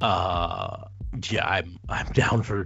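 A man speaks at a fairly low pitch. Vocal fry runs through his voice. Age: 40s. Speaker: wrestling podcast host. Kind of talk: casual chat.

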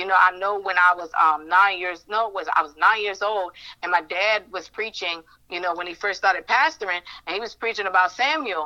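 A woman's bright, sharp voice, fairly low in pitch, at a fairly quick pace with ordinary pitch variation.

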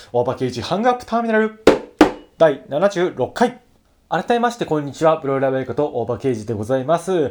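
A man speaks at a fairly quick pace and fairly high pitch, his pitch swinging very widely. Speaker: solo podcast host. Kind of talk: casual solo talk. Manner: fast.

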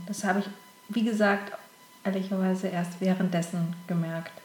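A woman speaks in monotone, flat intonation. Noticeable background noise and audible room echo are present. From southern Germany, Konstanz on Lake Constance. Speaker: casting director. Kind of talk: interview. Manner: hesitant, many filler sounds.

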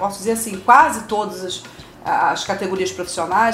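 Noticeable background noise and audible room echo surround a woman's medium-pitched voice. She speaks at a moderate pace with ordinary pitch variation. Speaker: social worker. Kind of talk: educational talk. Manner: halting, frequent fillers.

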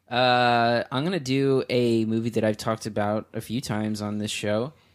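In a very clean recording with a silent background, a man with an American accent speaks at a fairly slow pace in an ordinary speaking voice, with a medium pitch and fairly even intonation. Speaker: podcast host and film critic. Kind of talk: casual banter.

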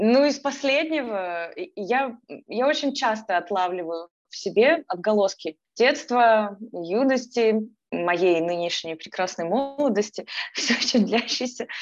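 A woman with a fairly high pitch and lively intonation at a very slow pace, with music in the background. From Ukraine, Kyiv. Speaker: energy therapist and mindfulness coach. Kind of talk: casual interview.

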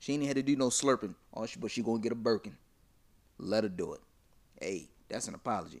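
A man talks at a very fast pace with ordinary pitch variation. His speech breaks into long, frequent pauses. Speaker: podcast host. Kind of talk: casual banter debate.

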